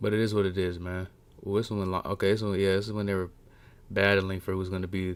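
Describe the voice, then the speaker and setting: Very fast and fairly low in pitch, a man speaks in a very clean recording with a silent background. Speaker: wrestling livestreamer. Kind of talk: casual livestream commentary. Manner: animated.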